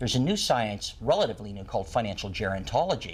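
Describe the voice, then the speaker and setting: This is a man talking. His voice is somewhat breathy. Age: 60s. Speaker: retirement planning expert and author. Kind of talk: talk show interview.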